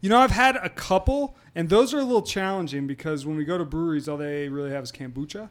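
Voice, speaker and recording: With hardly any pauses, a man at high pitch races along at a very fast pace through very wide pitch swings. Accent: American. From US Midwest, near St. Louis. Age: 40s. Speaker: beer tour operator and lawyer. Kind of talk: casual chat.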